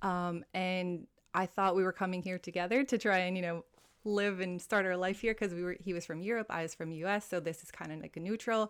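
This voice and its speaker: A woman with a Hawaiian accent, medium in pitch, at a fairly quick pace, with fairly even intonation and big swings in loudness, in a very clean recording with a silent background. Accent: American (Hawaii). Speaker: well-being coach. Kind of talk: casual interview chat.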